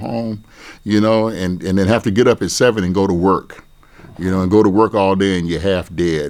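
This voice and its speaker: A man speaks at a moderate pace with a very deep, low pitch. The recording is very clean, with a silent background. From Pasco, Washington, US Pacific Northwest. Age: 70s. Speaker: oral history interviewee. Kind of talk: oral history interview. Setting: university campus. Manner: conversational, storytelling.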